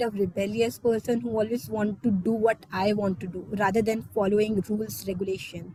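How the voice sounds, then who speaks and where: A woman speaks with an Indian accent. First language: not English (Indian language). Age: 20s. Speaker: exchange student speaker. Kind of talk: personal talk in online meeting.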